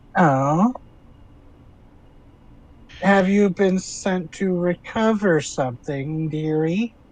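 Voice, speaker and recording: Using a put-on character voice pitched high, a man talks at a very slow pace with long, frequent pauses. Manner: sly, coaxing.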